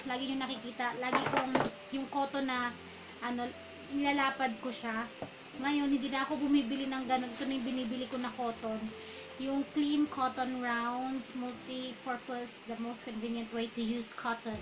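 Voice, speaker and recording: Noticeable background noise and audible room echo surround a woman speaking at a moderate pace. Her high pitch stays monotone and flat. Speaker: beauty vlogger. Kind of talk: product review vlog. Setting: at home at night. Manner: usually soft and quiet when recording.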